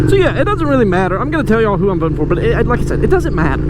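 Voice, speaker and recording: A man speaks in a Southern US accent. Noticeable background noise and audible room echo are present. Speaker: motorcycle vlogger. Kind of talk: casual vlog monologue. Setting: outdoors on a motorcycle.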